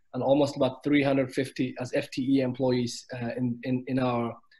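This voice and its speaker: A man at a fairly quick pace. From Kenya, ethnic Somali. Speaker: business executive. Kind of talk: panel discussion. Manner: hesitant, many fillers.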